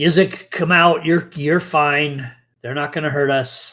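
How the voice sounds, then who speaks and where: At a fairly slow pace, a man uses a raspy put-on character voice. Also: fairly high pitch for a man. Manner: reassuring, coaxing.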